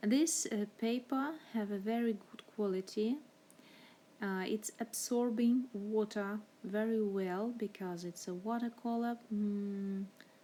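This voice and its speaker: A woman with a non-native accent talks at a very slow pace, her pitch fairly high. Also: ordinary pitch variation. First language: not English. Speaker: art teacher. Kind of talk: tutorial. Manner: halting, many fillers.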